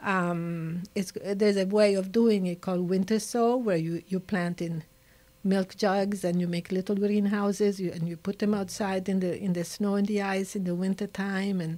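A woman's medium-pitched voice in an Italian accent, dark and mellow in tone, at a moderate pace. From Italy. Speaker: nature conservationist. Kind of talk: interview. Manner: animated. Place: studio. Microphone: studio mic.

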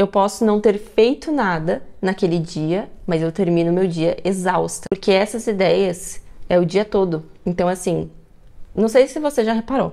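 Against a quiet background, a woman with a medium pitch and a dark, mellow tone speaks at a fairly slow pace with ordinary pitch variation. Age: 20s. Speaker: YouTuber, student; YouTuber. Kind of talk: personal vlog testimony. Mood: personal, reflective. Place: home room. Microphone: lapel.

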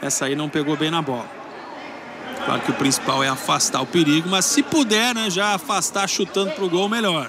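Over noticeable background noise, a man with a high voice talks at a fairly quick pace with very wide pitch swings. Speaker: play-by-play commentator. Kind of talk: live commentary.

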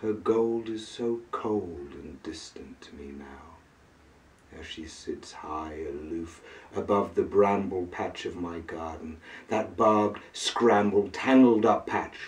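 A man's somewhat breathy, fairly low voice at a very slow pace, with big swings in loudness and ordinary pitch variation. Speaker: poet. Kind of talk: poetry reading. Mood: brooding, melancholic. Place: home room. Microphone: camera far.

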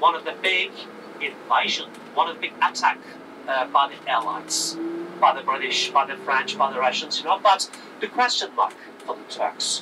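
A man speaks at a moderate pace with long, frequent pauses over noticeable background noise. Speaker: tour guide. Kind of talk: guided tour commentary. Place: bus.

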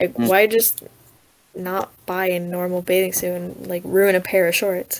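At a fairly slow pace, a woman speaks in a normal speaking voice at medium pitch. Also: ordinary pitch variation. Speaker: podcast co-host. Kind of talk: casual chat. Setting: video call.

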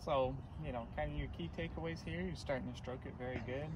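Noticeable background noise sits under a man speaking at a fairly quick pace, the sound dry with no echo. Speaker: golf instructor. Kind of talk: lesson recap instruction. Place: open country. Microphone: camera far.

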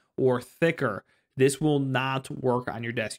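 At a moderate pace and with fairly even intonation, a man talks while the background stays quiet. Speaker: tech reviewer. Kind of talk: product review tutorial. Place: home room. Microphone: studio mic.

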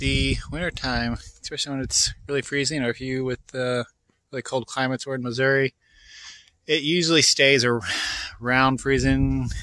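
The speech moves at a moderate pace over light background noise. The sound is dry, with no echo. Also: man. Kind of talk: casual vlog chat. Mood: calm, slightly concerned. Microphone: phone near.

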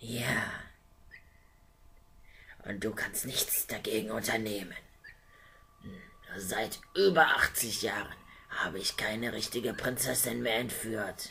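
A man with a fairly low pitch puts on a character voice, slow and full of long, frequent pauses, with vocal fry, a bright, sharp tone, and audible room echo. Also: ordinary pitch variation.

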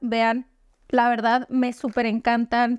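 A woman in a dry sound with no echo against a quiet background. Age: 30s. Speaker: beauty vlogger. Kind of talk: product haul video. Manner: animated. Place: home room.

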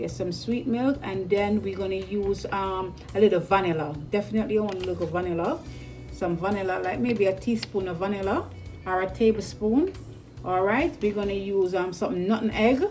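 There is faint music in the background as a woman talks at a fairly quick pace. Her pitch varies in an ordinary way. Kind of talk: tutorial. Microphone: phone near.

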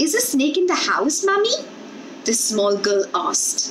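A woman talks at a fairly slow pace with a high pitch. Light background noise can be heard. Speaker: storyteller. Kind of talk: reading a story aloud. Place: home room. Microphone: earbuds.

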